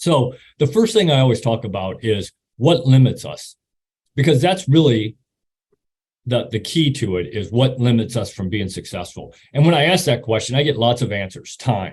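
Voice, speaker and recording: A man's medium-pitched, somewhat breathy voice with an American accent, moderate pace and lively intonation. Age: 60s. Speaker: retired army officer and motivational speaker. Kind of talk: presentation talk. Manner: halting, repeats words.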